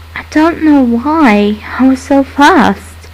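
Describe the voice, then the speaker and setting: A woman with a high-pitched voice and ordinary pitch variation talks over noticeable background noise. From British. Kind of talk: creepypasta story narration. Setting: built-in microphone.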